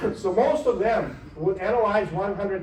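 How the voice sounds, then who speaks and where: Audible room echo is heard in the recording. The man's speech shows ordinary pitch variation. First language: not English. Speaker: university professor. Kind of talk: lecture. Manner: animated.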